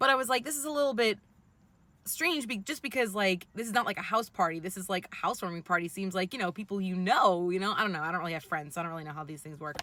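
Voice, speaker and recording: A woman talks very fast in a New York accent, her tone bright and sharp at a medium pitch. Her intonation is lively and her loudness swings widely. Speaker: vlogger. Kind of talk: personal storytelling vlog. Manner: casual, many fillers.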